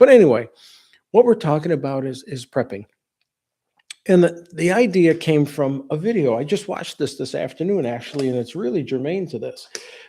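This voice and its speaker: Fairly quick and lively in intonation, a man talks at a fairly high pitch with a dark, mellow tone. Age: 60s. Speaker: home improvement and hurricane prep channel host. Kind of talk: live stream talk. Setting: live video stream. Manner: casual, conversational with many false starts.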